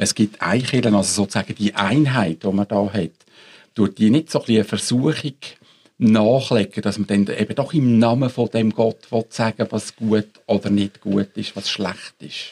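A man speaks in a plain, everyday voice at a moderate pace, fairly low in pitch with ordinary pitch variation. The sound is dry and close, with no echo. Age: 60s. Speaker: ethics professor. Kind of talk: panel discussion.

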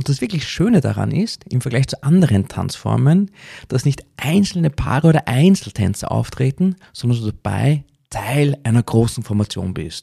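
A man speaks at a moderate pace and medium pitch, his somewhat breathy voice dark and mellow in tone with very wide pitch swings. The recording is very clean with a silent background and a dry, close sound with no echo. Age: 40s. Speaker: podcast host and decision coach. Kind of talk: podcast monologue.

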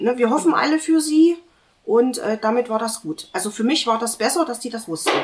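Talking at a fairly quick pace, a woman uses a high pitch and lively intonation. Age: 40s. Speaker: patient sharing fertility treatment experience. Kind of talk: casual group conversation, personal testimony.

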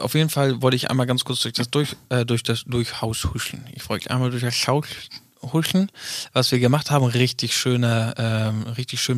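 A man's ordinary speaking voice at medium pitch and a fairly quick pace, with ordinary pitch variation and a dry, close sound with no echo. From northern Germany. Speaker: podcast co-host. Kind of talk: casual chat.

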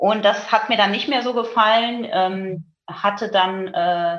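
A woman speaks in a normal speaking voice. Her pitch is medium and her pace fairly slow. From Germany, Münsterland. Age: 40s. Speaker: hearing aid company marketing manager. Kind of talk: interview.

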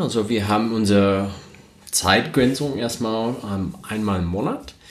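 There is audible room echo as a man speaks at a moderate pace with a fairly low pitch. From United States. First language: English (speaking German). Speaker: podcast co-host, renewable energy professional. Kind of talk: casual chat. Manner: hesitant, many fillers.

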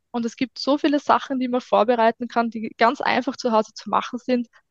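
Here a woman talks at a fairly quick pace in a high pitch. Her intonation stays fairly even. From Austria, Styria (Hartberg area). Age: 30s. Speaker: food blogger and mother on parental leave. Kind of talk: casual chat.

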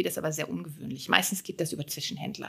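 Bright, sharp tone from a woman, very cleanly recorded over a silent background. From Germany, Moselle region. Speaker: winemaker and finance professional. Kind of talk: podcast interview.

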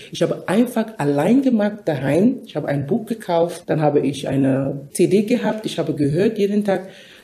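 Woman's dark, mellow voice, fairly low in pitch and somewhat breathy, with a non-native accent, lively intonation and moderate pace. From Cameroon. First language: not German (speaking German). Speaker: nurse. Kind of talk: interview.

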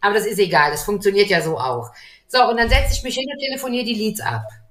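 At a fairly quick pace, a woman with a fairly high pitch talks in a plain, everyday voice. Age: 50s. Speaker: gym owner. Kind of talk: video interview.

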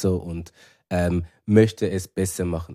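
A man speaks with a Zurich accent. His pitch varies in an ordinary way. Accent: Zurich Swiss German. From Switzerland, Zurich. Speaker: actor. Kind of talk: casual chat.

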